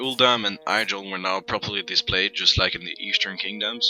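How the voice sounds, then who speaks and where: Against noticeable background noise, a man with a fairly low pitch speaks at a moderate pace. His intonation is monotone and flat, in a dry, close sound with no echo. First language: not English. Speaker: gaming video narrator. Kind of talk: scripted narration.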